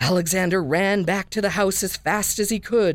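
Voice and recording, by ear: The intonation is fairly even. The clip is read aloud in a natural voice.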